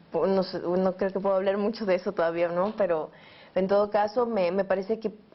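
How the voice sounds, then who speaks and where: Her voice sits at a medium pitch with fairly even intonation. The woman speaks in an Ecuadorian accent. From Ecuador, Quito. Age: 20s. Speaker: journalist and filmmaker. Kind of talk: interview answer.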